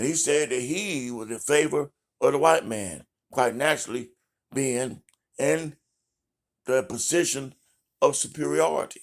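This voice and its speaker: In a very clean recording with a silent background, a man with a fairly high pitch and lively intonation talks at a fairly slow pace, leaving long, frequent pauses. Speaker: political commentator. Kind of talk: live monologue. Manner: deliberately slow.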